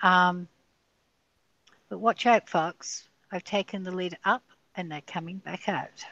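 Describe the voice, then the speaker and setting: Against a quiet background, a woman talks at a fairly slow pace, the sound dry and close with no echo. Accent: Australian. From Australia. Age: 60s. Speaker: guest sharing a near-death experience. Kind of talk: podcast interview.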